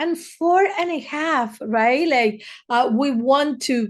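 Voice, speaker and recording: A woman with a Spanish accent, at a very slow pace, with ordinary pitch variation over a quiet background. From Argentina, Buenos Aires. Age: 50s. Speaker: therapist, podcast host. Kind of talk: casual monologue. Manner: hesitant, many fillers.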